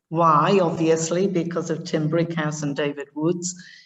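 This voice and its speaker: A woman with a North East England accent speaks very slowly in a fairly low, monotone voice with flat intonation. Audible room echo surrounds her. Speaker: education director. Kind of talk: conference presentation.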